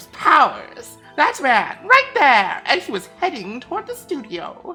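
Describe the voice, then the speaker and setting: In a put-on character voice, a female-sounding speaker with a high pitch moves at a fairly slow pace through very wide pitch swings, with faint music in the background. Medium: game stream. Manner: chatty, rambling, calls people dearie.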